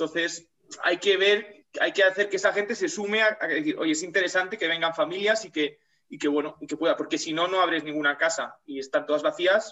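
A man talks at a fairly quick pace with a high pitch. His pitch varies in an ordinary way. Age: young. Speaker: rural development volunteer. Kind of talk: casual chat.

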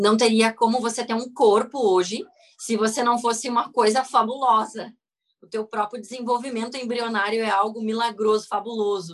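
An animated woman's voice, fairly high in pitch, at a moderate pace. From Rio Grande do Sul, southern Brazil. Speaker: physiotherapist and craniosacral therapist. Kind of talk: interview on a live video call.

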